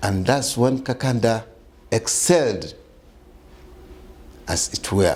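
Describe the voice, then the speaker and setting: A man speaks at a very slow pace with a medium pitch, ordinary pitch variation, and long, frequent pauses. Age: 60s. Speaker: community leader. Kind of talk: interview.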